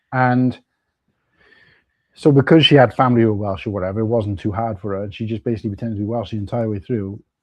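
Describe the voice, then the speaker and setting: A man's fairly even intonation and medium pitch carry through his very fast delivery. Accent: South Wales. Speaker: Lego live streamer. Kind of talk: casual chat. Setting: livestream.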